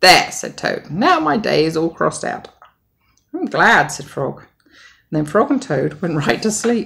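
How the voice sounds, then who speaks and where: Very wide pitch swings at a fairly slow pace, broken by long, frequent pauses. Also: woman. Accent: British. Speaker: mother. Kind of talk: bedtime story.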